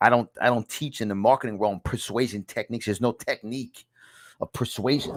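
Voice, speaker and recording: Animated and fairly quick, a man with a New York accent speaks at a medium pitch on a very clean recording with a silent background and a dry, close sound with no echo. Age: 50s. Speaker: podcast host and self-help author. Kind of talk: motivational teaching from own book. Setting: studio.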